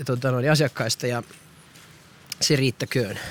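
Dry and close with no echo, a man's medium-pitched voice carries fairly even intonation. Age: 40s. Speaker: podcaster. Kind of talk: walking monologue podcast. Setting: outdoors, walking.

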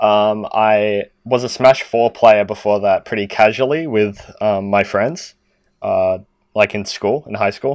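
Speaking at a fairly slow pace, a man uses a fairly low voice with fairly even intonation. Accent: Australian. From Sydney, Australia. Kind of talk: casual chat.

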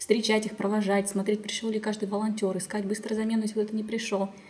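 Over noticeable background noise, a woman speaks very fast with monotone, flat intonation. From Kazakhstan, Zhezkazgan. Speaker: inclusive education center founder. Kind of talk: interview.

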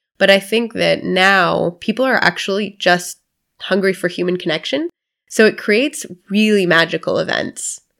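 The voice has vocal fry and an American accent. It moves at a moderate pace on a very clean recording with a silent background. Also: woman, medium pitch for a woman, ordinary pitch variation. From US South (Florida). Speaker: not-for-profit founder. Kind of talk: interview.

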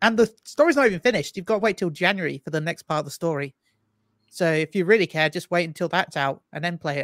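A high-pitched man's voice with a British accent, very fast and with ordinary pitch variation, recorded dry and close with no echo. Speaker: streamer and guest. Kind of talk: casual chat.

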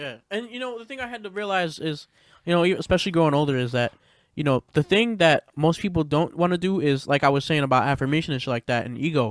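A man with an American accent and fairly high pitch talks at a very fast pace with lively intonation and big swings in loudness. The recording is very clean, with a silent background and a dry, close sound with no echo. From Pennsylvania, US. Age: 20s. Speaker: hip-hop artist. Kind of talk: casual chat.

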